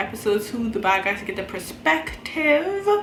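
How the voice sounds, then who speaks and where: In a room with audible echo and noticeable background noise, a woman speaks at a moderate pace with a fairly high pitch, an animated tone and lively intonation. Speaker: reaction youtuber. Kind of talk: casual chat.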